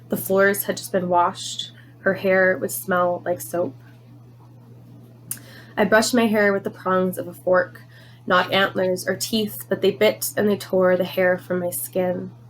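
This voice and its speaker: A woman at a medium pitch speaks at a fairly slow pace with lively intonation, leaving long, frequent pauses. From Canada. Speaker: poet. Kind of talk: poetry reading.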